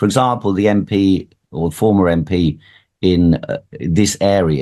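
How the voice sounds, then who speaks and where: A man speaks with vocal fry in a very deep, low voice. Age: 60s. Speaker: political candidate. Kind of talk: radio interview.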